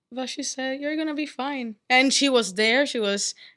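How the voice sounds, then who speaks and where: Her tone is bright and sharp, and the woman speaks with a non-native accent. The recording is very clean, with a silent background. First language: not English. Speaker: undergraduate student. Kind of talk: testimony. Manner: halting.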